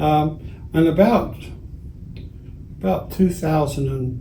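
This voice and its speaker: Speaking very slowly in a somewhat breathy, dark and mellow voice, a man with a fairly high pitch is heard in a room with audible echo. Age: 80s+. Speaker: retired school teacher. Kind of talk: interview.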